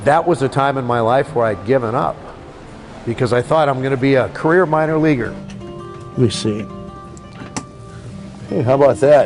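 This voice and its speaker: A man at medium pitch and moderate pace, ordinary pitch variation, long and frequent pauses, music in the background. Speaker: radio play-by-play commentator. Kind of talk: casual interview answer, storytelling about his career.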